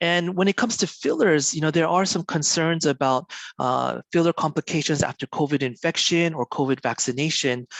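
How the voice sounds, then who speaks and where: Against a quiet background, a man with an American accent and a plain, everyday voice speaks at a fairly quick pace with hardly any pauses and very even loudness, the sound dry and close with no echo. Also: fairly high pitch for a man, ordinary pitch variation. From US-born, raised in Korea. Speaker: doctor. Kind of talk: lecture. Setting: online webinar.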